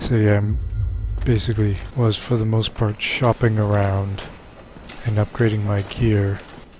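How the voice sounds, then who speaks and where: A man talks with fairly even intonation while music sounds behind him. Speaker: gaming video creator. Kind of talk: let's play commentary. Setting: home recording late at night. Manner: quiet, subdued because of late hour.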